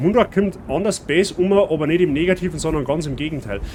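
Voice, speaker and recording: Speaking at a fairly quick pace, a man has a fairly high pitch. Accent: Bavarian. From Bavaria. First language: Bavarian dialect (speaking German). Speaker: streamer. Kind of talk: gameplay commentary. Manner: casual, chatty.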